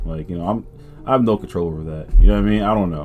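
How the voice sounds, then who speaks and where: Music plays in the background as a man speaks. His pitch is very deep and low, with ordinary pitch variation. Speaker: gaming youtuber. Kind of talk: casual vlog talk to viewers. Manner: casual, filler-heavy.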